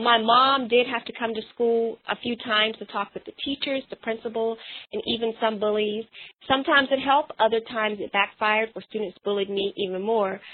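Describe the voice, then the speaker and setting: A woman speaks with an American accent. Her pitch is fairly high and her pace fairly quick. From North Carolina. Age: 20s. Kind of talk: interview. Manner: animated, passionate.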